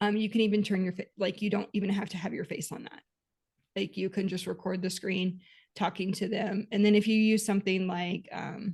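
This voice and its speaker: A somewhat breathy voice with an American accent at a fairly quick pace. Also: woman, medium pitch for a woman. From Texas. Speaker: podcast co-host, bookkeeping business coach. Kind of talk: casual podcast chat.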